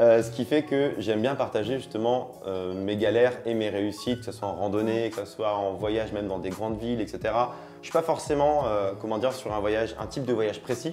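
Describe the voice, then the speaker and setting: Here a man talks at a fairly quick pace with hardly any pauses. His medium pitch has ordinary variation and a dark, mellow tone. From France, Auvergne. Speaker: travel content creator. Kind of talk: interview. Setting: studio. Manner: casual, many fillers.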